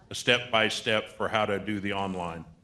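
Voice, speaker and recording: There is noticeable background noise behind this speaker. A man talks at a moderate pace. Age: 60s. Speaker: state aging-services program representative. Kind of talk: seminar panel Q&A.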